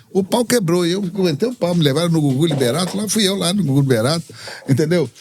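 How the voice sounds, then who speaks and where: Over noticeable background noise, a high-pitched man talks at a very fast pace with lively intonation. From Brazil, Rio de Janeiro. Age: 70s. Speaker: activist and religious leader. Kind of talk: interview.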